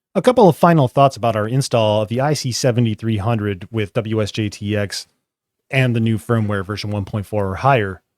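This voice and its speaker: A man at medium pitch talks with ordinary pitch variation, recorded very cleanly against a silent background, the sound dry and close with no echo. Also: fairly quick pace. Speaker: ham radio tutorial youtuber. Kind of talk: tutorial. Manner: fast; casual, with fillers.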